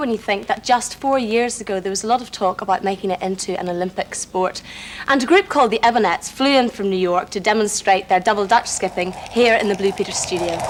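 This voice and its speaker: A woman with an Irish accent at a very fast pace and fairly high pitch, ordinary pitch variation and noticeable background noise. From Northern Ireland, Belfast. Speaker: children's TV presenter. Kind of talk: scripted TV presenting.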